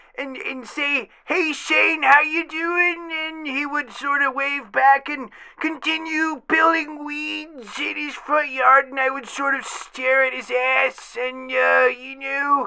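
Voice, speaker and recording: A high-pitched put-on character voice, fairly slow, with hardly any pauses. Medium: comedy sketch. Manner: rambling, stammering.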